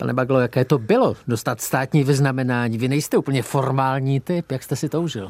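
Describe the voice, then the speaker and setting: Dry and close with no echo, this man's an unremarkable speaking voice sits at a medium pitch, moving at a fairly quick pace with ordinary pitch variation. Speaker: radio host. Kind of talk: interview.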